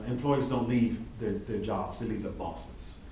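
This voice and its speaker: Audible room echo and noticeable background noise surround a man talking at a medium pitch. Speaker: school district administrator. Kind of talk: board meeting report.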